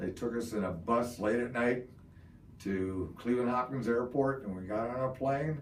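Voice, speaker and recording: With audible room echo, a man of medium pitch speaks at a moderate pace with ordinary pitch variation. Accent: Midwestern. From Ohio, US Midwest. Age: 60s. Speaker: Vietnam war veteran. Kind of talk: oral history interview. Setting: interview in Parma, Ohio.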